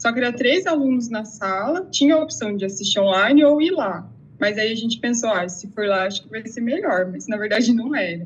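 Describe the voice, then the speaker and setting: Speaking in an unremarkable speaking voice, a woman with a fairly high pitch moves at a fairly quick pace with lively intonation and hardly any pauses. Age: 30s. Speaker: exam candidate, interviewee. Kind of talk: interview testimony.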